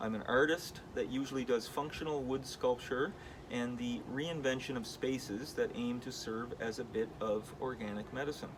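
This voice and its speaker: Noticeable background noise sits under a man's medium-pitched voice. He talks at a moderate pace with fairly even intonation. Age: 40s. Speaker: wood sculptor and artist. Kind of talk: vlog monologue with reading aloud of own email. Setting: in his studio. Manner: casual, with many fillers.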